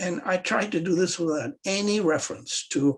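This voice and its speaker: A man talks with a somewhat breathy sound and ordinary pitch variation. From Pakistan. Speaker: economist. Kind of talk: panel talk.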